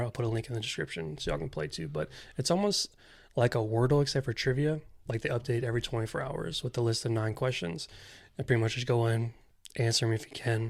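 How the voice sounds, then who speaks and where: A man talks at a very fast pace in a medium pitch, sounding somewhat breathy. The recording is very clean, with a silent background. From Louisiana. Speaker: podcast co-host. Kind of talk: casual chat.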